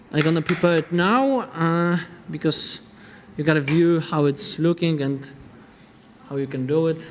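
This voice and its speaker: With a Polish accent, a man with a fairly high pitch speaks at a moderate pace, taking long, frequent pauses amid noticeable background noise. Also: ordinary pitch variation. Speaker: chef. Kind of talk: cooking demonstration. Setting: studio. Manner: halting.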